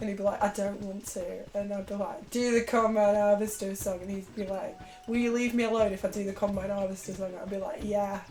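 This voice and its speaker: A woman with a northern English accent at a fairly quick pace, with audible room echo and music in the background. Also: medium pitch for a woman, hardly any pauses. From northern England. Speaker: video game speedrunner streamer. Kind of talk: casual live-stream chat. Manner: animated.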